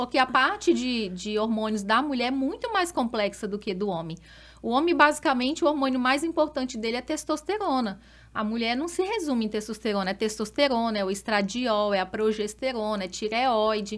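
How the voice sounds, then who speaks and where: Intonation is lively as a woman speaks at a fairly high pitch. Her pace is moderate. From Brazil, Rondônia (Porto Velho). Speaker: doctor specializing in women's health. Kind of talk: podcast interview.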